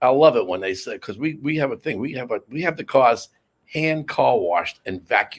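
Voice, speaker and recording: This man speaks at medium pitch with an American accent, his fairly quick delivery swinging very widely in pitch and carrying vocal fry. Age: 70s. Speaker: auto body shop owner. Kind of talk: casual interview. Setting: studio.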